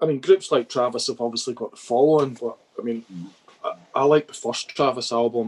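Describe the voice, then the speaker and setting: With a Dundee accent, the speaker goes at a fairly quick pace and fairly even intonation, heard with a dry, close sound and no echo. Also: man. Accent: Scottish (Dundee area). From Scotland. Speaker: music photographer. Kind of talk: casual chat. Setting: video call.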